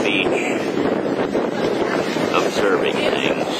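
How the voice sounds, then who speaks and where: Loud background noise surrounds a man speaking at a very slow pace. The sound is dry, with no echo. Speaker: writer and performer. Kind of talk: casual talk to camera. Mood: warm, reflective. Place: beach. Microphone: phone near.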